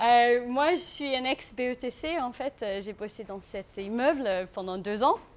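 A woman speaks very slowly in a high voice with hardly any pauses. Her loudness swings widely over noticeable background noise. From South Africa. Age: 30s. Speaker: aspiring farmer, former advertising worker. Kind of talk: live talk to an audience. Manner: non-native, halting French.

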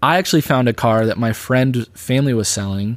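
A man with an American accent has a plain, everyday voice at medium pitch, with ordinary pitch variation and a moderate pace. The recording is very clean, with a silent background. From US Midwest (Illinois, Michigan). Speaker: youth pastor. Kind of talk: personal testimony. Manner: casual, filler-heavy (like, um).

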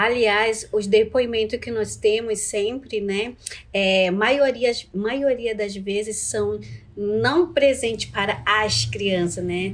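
Speech comes at a very slow pace with ordinary pitch variation. Noticeable background noise is present. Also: woman, fairly high pitch for a woman. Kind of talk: interview testimony.

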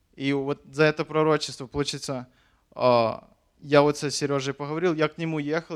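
The voice of a man with a fairly high pitch comes through on a very clean recording with a silent background. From Ukraine. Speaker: missionary. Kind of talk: testimony.

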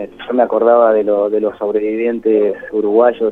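This man's voice sits fairly low. He keeps a moderate pace and a monotone, flat delivery. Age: 50s. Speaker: psychologist and ultramarathon runner. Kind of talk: radio interview. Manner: halting.

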